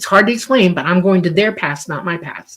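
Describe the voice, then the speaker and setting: Her pitch fairly low and its variation ordinary, a woman talks in an ordinary speaking voice. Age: 60s. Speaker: UFO experiencer and author. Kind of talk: interview. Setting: live radio show.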